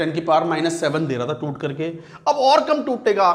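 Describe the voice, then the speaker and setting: Heard with audible room echo, a man speaks at a high pitch with very wide pitch swings. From Uttar Pradesh, India. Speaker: chemistry teacher. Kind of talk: lecture. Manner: conversational, repetitive questioning.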